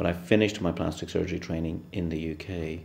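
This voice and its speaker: A man with an Irish accent and a very deep, low pitch, talking at a fairly quick pace. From west of Ireland. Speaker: plastic surgeon. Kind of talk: interview answers. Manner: halting.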